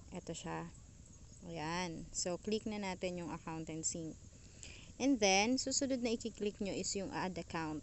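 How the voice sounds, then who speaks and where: A woman speaks with an ordinary speaking voice at a medium pitch. Her pace is fairly slow and her intonation lively. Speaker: YouTuber. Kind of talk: tutorial. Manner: casual.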